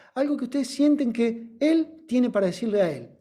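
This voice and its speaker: A man's dark, mellow voice with audible echo from the room. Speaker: teacher of body phonology training. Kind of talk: lecture with guided exercise.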